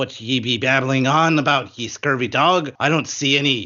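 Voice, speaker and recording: Using a put-on character voice, a man speaks at a moderate pace with medium pitch. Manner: gruff, mocking.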